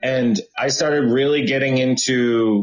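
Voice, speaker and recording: Medium-pitched male speech in an American accent, with ordinary pitch variation. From Boston. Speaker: chef and cooking show host. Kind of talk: interview. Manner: animated.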